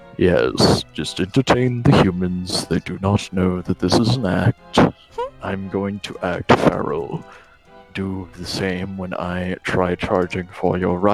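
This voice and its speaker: A man's put-on character voice, very deep and low, at a fairly slow pace over faint background music. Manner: pretending to be feral.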